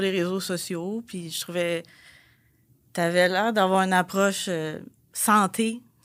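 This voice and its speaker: A woman in a Quebec accent at medium pitch, very slow pace and fairly even intonation, in a very clean recording with a silent background. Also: long, frequent pauses, big swings in loudness. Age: 30s. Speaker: pharmacy technical assistant and bodybuilding competitor. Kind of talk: testimony.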